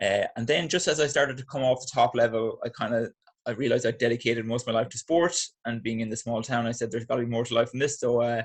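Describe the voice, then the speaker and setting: A man with an Irish accent, somewhat breathy, at a very fast pace with fairly even intonation. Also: medium pitch for a man. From Ireland, Athlone, Midlands. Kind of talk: podcast interview.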